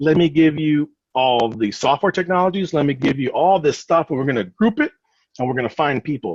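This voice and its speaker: Fairly high in pitch, a man speaks at a fairly quick pace with lively intonation. The sound is dry and close with no echo. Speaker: recruiter. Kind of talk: webinar presentation. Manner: fast.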